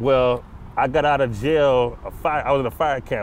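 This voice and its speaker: A man with an American accent talks at a fairly quick pace in a medium pitch, his intonation fairly even, the sound dry with no echo and light background noise behind him. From Los Angeles, California. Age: 40s. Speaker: former prisoner, author. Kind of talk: casual interview. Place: open country. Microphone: lapel.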